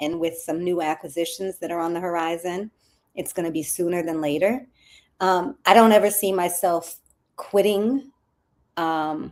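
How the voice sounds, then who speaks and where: With a fairly low pitch and ordinary pitch variation, a woman has an unremarkable speaking voice on a very clean recording with a silent background. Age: 50s. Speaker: crisis communications strategist. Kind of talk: interview.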